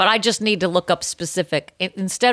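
A woman with a Boston accent is heard in a very clean recording with a silent background and a dry, close sound with no echo. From Boston area. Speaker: podcast co-host. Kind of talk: casual chat. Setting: home recording room.

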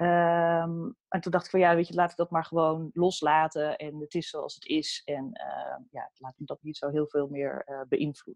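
With hardly any pauses, a woman speaks at a moderate pace in a dry, close sound with no echo. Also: big swings in loudness. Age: 40s. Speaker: workplace happiness consultant and coach. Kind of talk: casual interview. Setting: video call.

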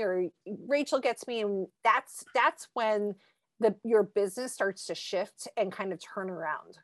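A woman speaks at a fairly slow pace in a plain, everyday voice, her fairly high pitch showing ordinary variation, on a very clean recording with a silent background and a dry, close sound with no echo. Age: 40s. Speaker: copywriter. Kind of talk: casual chat.

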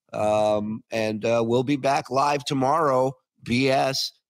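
The man talks at a fairly slow pace in a dry, close sound with no echo. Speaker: livestream show host. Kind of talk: casual banter reacting to video clips. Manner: animated, joking.

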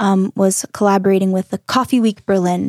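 On a very clean recording with a silent background and a dry, close sound with no echo, a woman with an American accent and a plain, everyday voice speaks at a medium pitch with fairly even intonation. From North Carolina. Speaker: emigrant, barista. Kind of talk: casual interview. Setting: studio.

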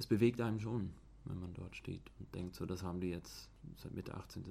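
A man speaks at a moderate pace in a very deep, low voice with a dark, mellow tone, vocal fry, and ordinary pitch variation. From Switzerland. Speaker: student. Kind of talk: casual chat. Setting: outdoors.

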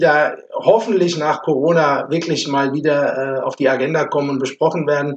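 A man with a normal speaking voice, fairly high in pitch, at a moderate pace with fairly even intonation. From Offenbach, Hesse, Germany. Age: 50s. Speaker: amateur football club chairman. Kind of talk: casual chat. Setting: basement room recording.

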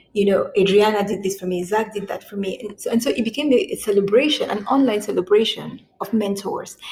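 Noticeable background noise surrounds a woman with a fairly high pitch and ordinary pitch variation. She talks at a fairly quick pace with hardly any pauses. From Cameroon, moved to US at 16. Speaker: lawyer and podcast host. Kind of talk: interview. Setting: remote recording.

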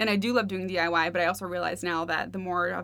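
On a very clean recording with no background sound, the woman's words come very fast. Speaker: blogger. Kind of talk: casual interview chat.

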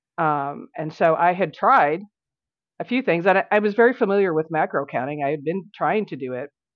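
In a normal speaking voice, a woman with an American accent talks at a fairly quick pace. Her pitch is fairly low and her intonation lively. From Tennessee, US South. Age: 50s. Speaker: breast cancer survivor and nutrition client. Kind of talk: interview.

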